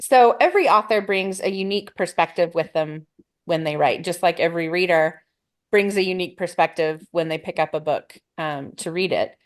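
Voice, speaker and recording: A woman with an ordinary speaking voice, fairly low in pitch, at a fairly quick pace with ordinary pitch variation. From US Midwest, northern Illinois. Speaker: panel moderator. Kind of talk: panel discussion.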